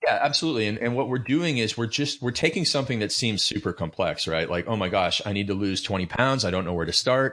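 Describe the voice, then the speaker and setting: Very fast and with hardly any pauses, a man with a Canadian accent speaks at a medium pitch in a bright, sharp tone with lively intonation. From Canada. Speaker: fitness coach and author. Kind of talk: interview.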